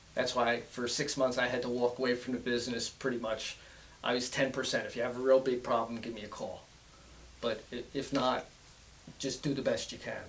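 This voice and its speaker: Over noticeable background noise, a man speaks with monotone, flat intonation. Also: medium pitch for a man, fairly quick pace. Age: 60s. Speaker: cancer survivor, business owner. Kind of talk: interview. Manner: halting.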